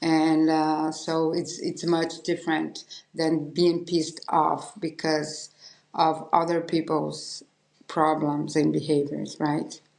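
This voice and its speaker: In a Portuguese accent, a woman speaks at a very slow pace with a very deep, low pitch and vocal fry. Her intonation is monotone and flat. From Brazil. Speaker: podcast host and painter. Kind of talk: interview conversation. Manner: halting.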